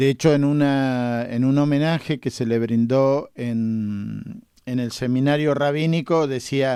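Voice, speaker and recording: A man with a dark, mellow tone and a medium pitch speaks at a very slow pace with fairly even intonation and hardly any pauses, in a very clean recording against a silent background. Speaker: radio host. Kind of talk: radio interview.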